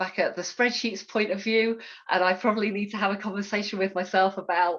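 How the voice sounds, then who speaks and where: A woman talks at a fairly quick pace with monotone, flat intonation. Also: medium pitch for a woman. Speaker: software testing panelist. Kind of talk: panel talk.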